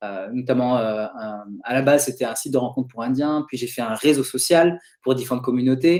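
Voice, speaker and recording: Ordinary shifts in pitch mark speech that goes at a fairly quick speed. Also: man. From France, Toulouse. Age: 30s. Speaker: web entrepreneur, investment guest. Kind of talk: interview. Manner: hesitant, many fillers.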